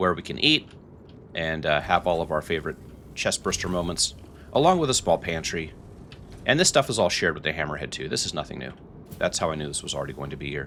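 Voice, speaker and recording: The speech runs at a very fast pace, broken by long, frequent pauses, with vocal fry and a bright, sharp tone. Pitch variation is ordinary. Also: man, very deep, low pitch for a man. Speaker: gaming youtuber. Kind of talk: game review walkthrough. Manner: casual, hesitant with fillers.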